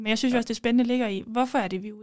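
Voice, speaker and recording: A very clean recording with a silent background, carrying an ordinary speaking voice with fairly even intonation. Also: woman. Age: 20s. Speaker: law student and former parliamentary candidate. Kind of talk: casual interview.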